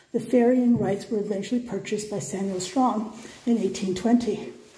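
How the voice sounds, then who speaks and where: The speech moves at a fairly quick pace with lively intonation. Audible room echo can be heard. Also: woman. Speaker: history travel vlogger. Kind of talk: reading plaques aloud, tour commentary. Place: empty room. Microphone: phone near.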